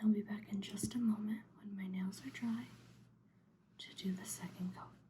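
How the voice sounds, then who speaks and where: A soft-spoken woman is talking. She speaks at a fairly slow pace. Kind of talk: ASMR soft spoken nail painting.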